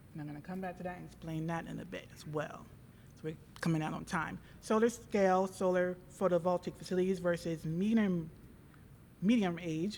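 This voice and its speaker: With audible room echo, a woman talks at a fairly quick pace in fairly even intonation, with big swings in loudness and long, frequent pauses. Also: fairly low pitch for a woman. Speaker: student presenter. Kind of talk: conference presentation. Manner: fast.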